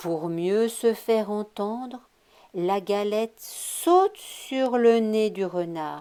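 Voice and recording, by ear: The speaker reads aloud in a natural voice.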